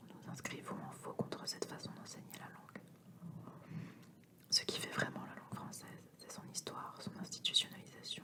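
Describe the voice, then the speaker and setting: Whispering at a moderate pace over noticeable background noise. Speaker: ASMR reader. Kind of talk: whispered book reading (ASMR). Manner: whispered.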